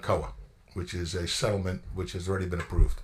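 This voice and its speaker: A man is speaking. His voice is somewhat breathy. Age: 60s. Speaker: township attorney. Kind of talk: public meeting explanation. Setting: council meeting room.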